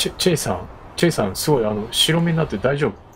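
Lively intonation from a man with a fairly high pitch, at a moderate pace, with noticeable background noise. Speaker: VTuber game streamer. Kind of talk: game let's play with dialogue reading. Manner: soft, calm for sleep.

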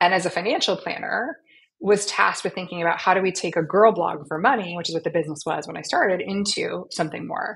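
A woman talks very fast, her pitch varying in an ordinary way. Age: 40s. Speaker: startup founder and CEO. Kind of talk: interview. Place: home room. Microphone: video call.

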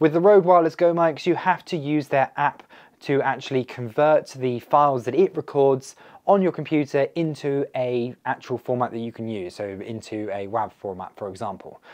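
Slightly mellow tone from a man, with few pauses and ordinary pitch variation. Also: medium pitch for a man, moderate pace.

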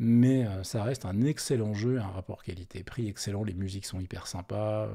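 In a very clean recording with a silent background, a man speaks at a moderate pace with medium pitch and ordinary pitch variation. His tone is dark and mellow, and somewhat breathy. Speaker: tech podcast host. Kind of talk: live stream commentary. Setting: live stream. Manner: hesitant, many fillers.

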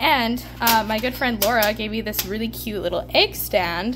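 Clear music runs in the background while a woman speaks at a moderate pace. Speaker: homesteading vlogger. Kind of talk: casual vlog chat. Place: kitchen.

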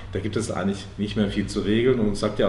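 Spoken at a moderate pace with fairly even intonation, the clip carries light background noise and audible room echo. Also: man. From Karlsruhe, southwest Germany; Germany. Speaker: member of parliament; politician being interviewed. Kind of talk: interview. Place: shop. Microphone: lapel.

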